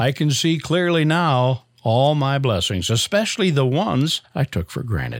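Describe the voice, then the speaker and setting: A normal speaking voice moves at a moderate pace with lively intonation, very even loudness and hardly any pauses, in a very clean recording with a silent background. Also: man, fairly high pitch for a man. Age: 60s. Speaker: audio producer. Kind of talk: recorded reflection.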